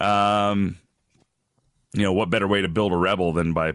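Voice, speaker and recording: Here a man talks at a moderate pace. The background is quiet and the sound is dry and close with no echo. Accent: Canadian. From Alberta, Canada. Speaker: radio host and wrestling commentator. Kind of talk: casual interview. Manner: casual, chatty.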